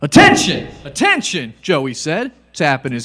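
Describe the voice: What you hear is plain reading aloud.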